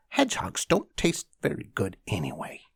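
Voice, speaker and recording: A man uses a put-on character voice. He speaks at a moderate pace. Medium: read story. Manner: sly, coaxing.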